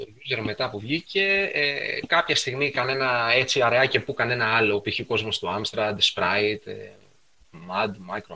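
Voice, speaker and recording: He has an unremarkable speaking voice, medium in pitch, with lively intonation and big swings in loudness. The man talks at a fairly slow pace. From Piraeus, Greece. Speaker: retro computing enthusiast. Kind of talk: casual chat.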